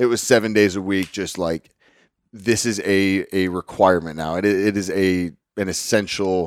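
With an American accent and a normal speaking voice, a man speaks at a fairly low pitch with fairly even intonation in a very clean recording with a silent background and a dry, close sound with no echo. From Northwest Texas (Lubbock). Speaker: fitness coach. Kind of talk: casual interview.

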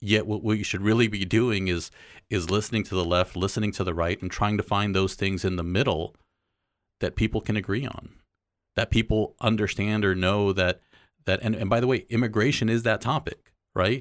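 A man's fairly low voice at a fairly quick pace, with fairly even intonation. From Los Angeles area, US West Coast (born in Mexico, moved at age two). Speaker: church communications director. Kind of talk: interview conversation. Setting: studio. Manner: halting, frequent repetitions.

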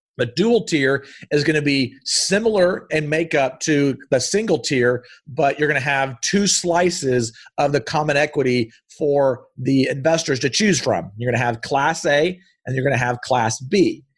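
With a quiet background behind him, a man speaks in an animated tone, somewhat breathy and fairly high-pitched, his loudness very even. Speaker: real estate investor and entrepreneur. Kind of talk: educational interview. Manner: fast.

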